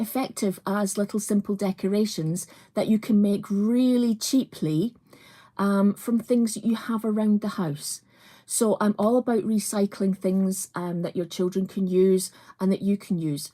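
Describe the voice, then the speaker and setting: Somewhat breathy and dark and mellow in tone, a woman with a Scottish accent keeps her intonation fairly even on a very clean recording with a silent background. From Scotland, Edinburgh. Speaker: crafts presenter. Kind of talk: live craft tutorial. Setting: livestream. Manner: casual, many fillers.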